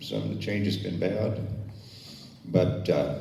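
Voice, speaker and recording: With an American accent, a man speaks in a very deep, low pitch with ordinary pitch variation, amid audible room echo and noticeable background noise. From northern California, Humboldt County. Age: 60s. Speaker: forum moderator, community leader. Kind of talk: opening remarks at community forum.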